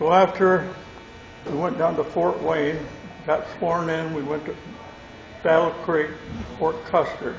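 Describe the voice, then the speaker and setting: Long, frequent pauses and fairly even intonation in a Midwestern American accent, over noticeable background noise with audible room echo. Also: man, high pitch for a man. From Michigan, US Midwest. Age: 90s. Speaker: war veteran. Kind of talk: testimony. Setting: stage with audience.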